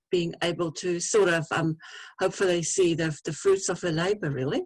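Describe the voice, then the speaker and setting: Moderate pace, dry, close sound with no echo. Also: woman. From Namibia / southern Africa. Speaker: accessibility advisor and blindness advocate. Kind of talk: personal talk at virtual convention. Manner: halting, many fillers.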